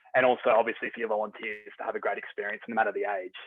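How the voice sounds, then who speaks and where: A man with an Australian accent. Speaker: software company representative. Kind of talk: webinar presentation. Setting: video call. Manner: hesitant, many fillers.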